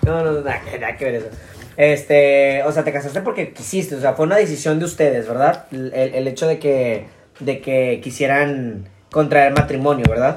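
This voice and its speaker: Against noticeable background noise, a man with a Mexican accent talks at a moderate pace, his fairly high pitch showing ordinary variation. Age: 20s. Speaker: podcast host. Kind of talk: casual chat.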